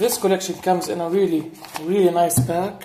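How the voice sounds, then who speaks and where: Someone with a non-native accent speaks at a fairly slow pace. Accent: foreign accent, self-noted. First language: not English. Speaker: gaming YouTuber. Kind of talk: casual video review. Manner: halting, many fillers and restarts.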